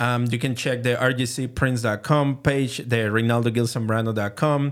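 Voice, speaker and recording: A man of medium pitch with a Venezuelan accent and ordinary pitch variation, on a very clean recording with a silent background. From Venezuela, Caracas. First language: Spanish. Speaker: printmaker and art professor. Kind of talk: casual interview. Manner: halting.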